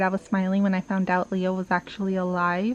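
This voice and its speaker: Noticeable background noise surrounds the voice. A soft-spoken woman is talking. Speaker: book vlogger. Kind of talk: casual vlog monologue.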